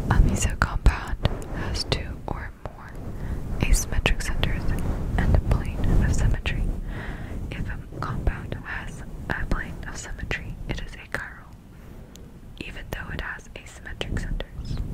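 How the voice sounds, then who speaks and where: A woman whispers at a fairly slow pace, with long, frequent pauses. Her loudness swings widely over noticeable background noise. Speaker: ASMR creator. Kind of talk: ASMR sleep-aid lecture. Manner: whispered, close-up, soft.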